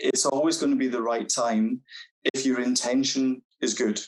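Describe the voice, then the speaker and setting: Speaking with a strong Scottish accent, a man talks at a moderate pace. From Scotland. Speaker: carer. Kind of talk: panel discussion.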